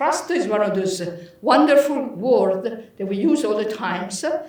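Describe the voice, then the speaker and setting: In an Italian accent, a speaker uses lively intonation at a moderate pace, with audible room echo and noticeable background noise. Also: woman. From Italy. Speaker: professor. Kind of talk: lecture.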